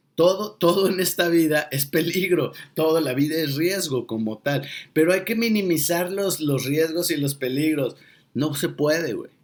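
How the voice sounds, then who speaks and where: Speaking at a fairly slow pace, a man with a Mexican accent uses a fairly high pitch and ordinary pitch variation. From Mexico. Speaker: monologue speaker and coach. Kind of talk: sarcastic motivational monologue to camera. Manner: irreverent, emphatic, colloquial.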